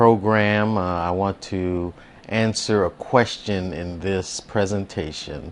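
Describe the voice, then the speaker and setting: Very slowly, this man talks, his pitch moving in an ordinary way. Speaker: preacher, sermon consultant. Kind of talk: instructional talk. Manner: measured, hesitant with fillers.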